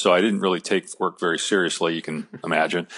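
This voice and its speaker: A man talks at a fairly quick pace in a normal speaking voice with ordinary pitch variation. The sound is dry and close, with no echo. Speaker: sports broadcaster and podcast guest. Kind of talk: interview answer, telling a personal story.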